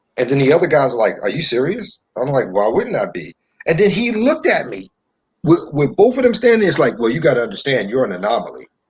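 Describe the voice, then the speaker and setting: Speaking very fast with an American accent, a man uses a fairly high pitch, very wide pitch swings and vocal fry. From New York. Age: 30s. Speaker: online discussion show host. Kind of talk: casual chat. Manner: repetitive, stammering starts.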